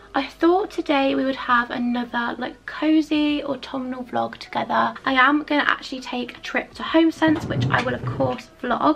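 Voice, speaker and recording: With music in the background, a woman speaks at a moderate pace in a British accent, hardly pausing at all. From UK. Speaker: lifestyle vlogger. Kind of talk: casual vlog. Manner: chatty, enthusiastic. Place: home room. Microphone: phone near.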